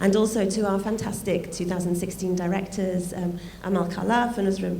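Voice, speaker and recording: A woman talks at a fairly quick pace in a medium pitch with ordinary pitch variation. Noticeable background noise and audible room echo fill the recording. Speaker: art fair director. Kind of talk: welcome speech.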